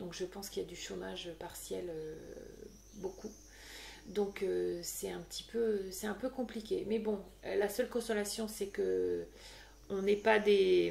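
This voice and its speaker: At a fairly slow pace, a woman talks with long, frequent pauses. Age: 40s. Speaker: podcaster. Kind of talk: casual chat. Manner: hesitant, many fillers.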